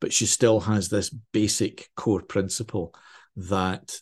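Over a quiet background, a man with a Glaswegian accent speaks in a fairly low pitch with monotone, flat intonation. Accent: Glaswegian Scottish. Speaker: crime novelist. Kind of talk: interview.

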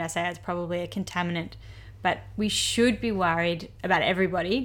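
A woman with an ordinary speaking voice, medium in pitch, at a moderate pace with fairly even intonation, on a very clean recording with a silent background. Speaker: doctor, medical podcast co-host. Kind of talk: educational medical podcast chat.

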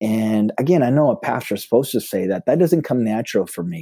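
In an Upper Midwest accent, a man speaks in a dark, mellow tone with ordinary pitch variation, the sound dry and close with no echo on a very clean recording with a silent background. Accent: Upper Midwest American. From South Dakota, US Midwest. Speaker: pastor. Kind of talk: casual interview chat. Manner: animated.

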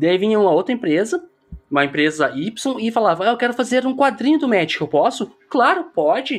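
A man's high-pitched voice at a fairly quick pace, with very wide pitch swings. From southern Brazil, Porto Alegre. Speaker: tabletop game content creator. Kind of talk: casual chat.

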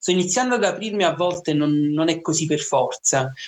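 The man's voice is high-pitched. He keeps a fairly quick speed, with ordinary pitch movement. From Naples, Italy. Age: 20s. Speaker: teacher, rare disease patient. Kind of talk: interview, personal testimony.

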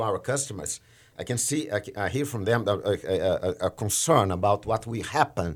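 A man speaks at a medium pitch with a Portuguese accent. The recording is very clean, with a silent background. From Brazil. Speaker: trading manager in energy industry. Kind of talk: podcast interview. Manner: halting, frequent fillers and restarts.

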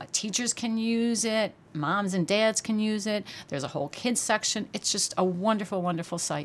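A woman's plain, everyday voice, fairly high in pitch, with hardly any pauses. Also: ordinary pitch variation, moderate pace. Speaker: dietitian nutritionist. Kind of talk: casual interview chat.

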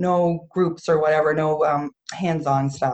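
A woman with a New Brunswick accent speaks with fairly even intonation. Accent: Atlantic Canadian (New Brunswick). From Campobello Island, New Brunswick. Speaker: sea glass festival founder. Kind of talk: casual interview. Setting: video call.

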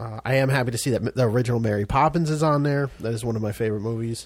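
A man talks at a fairly quick pace with a medium pitch and ordinary pitch variation. It is a normal speaking voice. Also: very clean recording, silent background. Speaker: podcast co-host. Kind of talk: casual chat.

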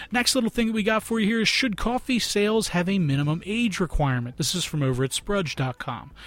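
With a Philadelphia accent, the speaker races along at a very fast pace, the pitch swinging very widely. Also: man, high pitch for a man. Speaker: podcast host. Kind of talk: casual podcast monologue. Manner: halting, many fillers.

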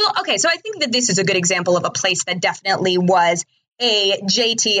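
Speaking at a fairly quick pace with an American accent, a woman uses an unremarkable speaking voice, medium in pitch and with ordinary pitch variation. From New Jersey. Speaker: superfan podcast guest. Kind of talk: casual chat.

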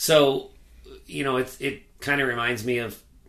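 A man speaks in a normal speaking voice at medium pitch and a moderate pace. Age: 40s. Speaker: podcast co-host, recovering alcoholic. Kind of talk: casual chat.

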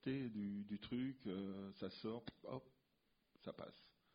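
This is a man talking. The intonation he uses is fairly even. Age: 60s. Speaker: comic book artist. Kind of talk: casual interview. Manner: halting, repeats words.

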